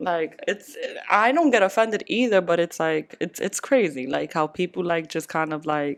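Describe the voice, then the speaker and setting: At a moderate pace, a woman with an American accent talks with lively intonation and a fairly low pitch. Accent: Bronx and Spanish. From New York, the Bronx; Dominican family. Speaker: podcast co-host. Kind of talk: casual chat.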